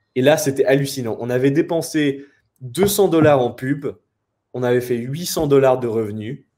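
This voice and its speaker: A man speaks at a fairly slow pace with a fairly high pitch and ordinary pitch variation. His tone is dark and mellow, and the recording is very clean with a silent background. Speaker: web entrepreneur and copywriter. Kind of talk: interview conversation. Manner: halting, many fillers.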